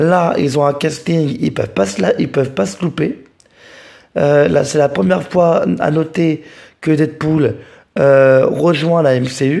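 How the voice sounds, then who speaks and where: A dark, mellow tone at a very slow pace, with ordinary pitch variation and long, frequent pauses. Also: man, fairly high pitch for a man. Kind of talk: casual talk to camera. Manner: hesitant, repeats words.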